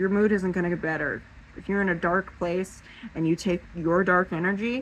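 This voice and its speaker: Speaking at a moderate pace with an American accent, a woman keeps a medium pitch and fairly even intonation. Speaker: paranormal vlogger. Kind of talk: casual monologue to camera. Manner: halting, with fillers and restarts.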